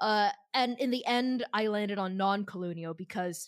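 On a very clean recording with a silent background, a woman with a fairly high pitch talks at a moderate pace in an unremarkable speaking voice. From Shanghai, China and Boston. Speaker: game designer and game master. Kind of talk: casual chat.

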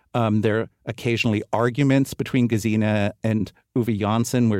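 A man with an American accent uses a normal speaking voice, fairly low in pitch with fairly even intonation, in a dry, close sound with no echo. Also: very clean recording, silent background. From New York City, Upper West Side. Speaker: literary translator. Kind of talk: interview.

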